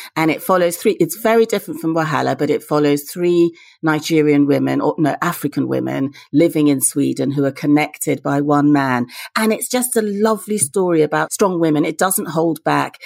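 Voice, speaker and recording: On a very clean recording with a silent background, a woman speaks at a fairly quick pace with a very deep, low pitch and ordinary pitch variation. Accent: British. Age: 50s. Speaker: novelist. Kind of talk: interview.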